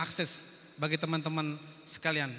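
A man speaks at a fairly quick pace with a high pitch and a bright, sharp tone. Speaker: event moderator. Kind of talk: formal event hosting. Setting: hall with audience. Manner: formal. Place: hall. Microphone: handheld.

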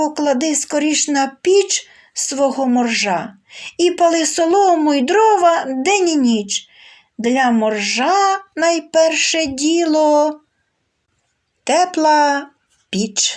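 Using a put-on character voice, a woman speaks very slowly in a high pitch with lively intonation and very even loudness. She takes long, frequent pauses. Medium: read story. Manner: bragging, self-assured.

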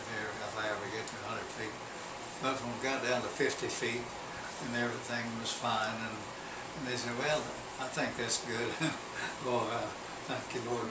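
Amid loud background noise, a man talks with long, frequent pauses. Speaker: war veteran. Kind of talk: interview answer. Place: home room.

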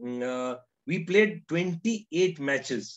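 A fairly slow pace against a quiet background. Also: man. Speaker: narrator recalling interviews. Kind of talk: storytelling commentary. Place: home room. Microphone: webcam.

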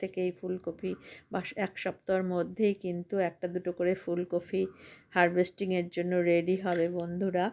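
A fairly low-pitched woman's voice in a flat monotone, in a very clean recording with a silent background. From rural West Bengal, India (near Farakka, Murshidabad). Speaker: gardening vlogger. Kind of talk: vlog tutorial. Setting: rooftop garden. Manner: warm, chatty.

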